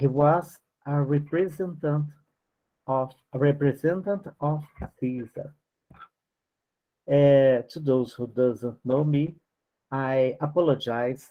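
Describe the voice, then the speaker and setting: Intonation stays fairly even as the speaker goes at a very slow pace with long, frequent pauses. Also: man, fairly high pitch for a man. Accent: non-native. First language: not English. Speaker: spiritist study group teacher. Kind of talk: study class, reading aloud with commentary. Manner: halting, many fillers.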